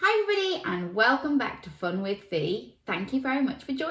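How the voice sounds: Text read aloud in a natural reading voice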